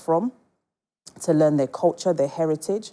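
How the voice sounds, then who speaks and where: Her voice very deep and low with a dark, mellow tone, a woman speaks at a moderate pace. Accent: British. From England. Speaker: entrepreneur. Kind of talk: casual chat.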